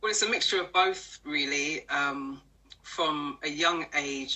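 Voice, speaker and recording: This woman has a very deep, low pitch and speaks with a London accent. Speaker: personal development coach. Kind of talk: interview. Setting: live stream.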